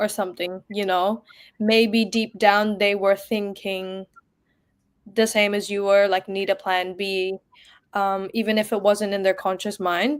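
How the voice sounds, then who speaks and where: A woman's medium-pitched voice at a fairly slow pace, in a very clean recording with a silent background. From Philippines. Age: 20s. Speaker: young entrepreneur, lab technician. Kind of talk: interview on a live stream.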